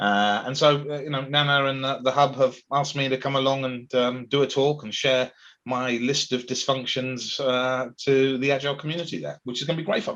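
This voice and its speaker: In a County Durham accent, a man speaks at a medium pitch. His pace is fairly quick and his intonation fairly even. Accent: northern English (Darlington). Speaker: agile coach and event host. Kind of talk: casual chat.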